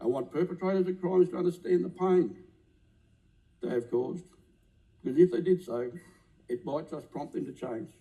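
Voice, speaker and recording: In an Australian accent, a man talks at a fairly quick pace. His voice sits fairly high, with a dark, mellow tone. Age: 60s. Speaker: politician. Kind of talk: parliamentary maiden speech. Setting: parliament chamber. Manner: impassioned; formal.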